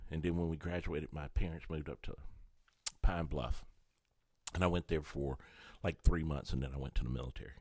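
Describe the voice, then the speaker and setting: With an American accent, a man speaks at a fairly quick pace in a very deep, low voice. Long pauses come often. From New Orleans, Louisiana (born East Texas). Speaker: comedian. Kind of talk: casual chat. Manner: animated.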